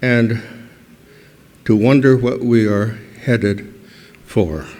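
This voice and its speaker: A man's medium-pitched voice at a very slow pace, with audible room echo. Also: fairly even intonation. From New Mexico, Santa Clara Pueblo. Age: 80s+. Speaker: historian. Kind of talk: award acceptance speech. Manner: halting.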